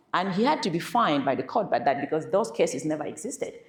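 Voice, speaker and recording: A woman talks at a fairly quick pace with very wide pitch swings. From Cameroon. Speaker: keynote speaker on AI. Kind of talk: keynote talk.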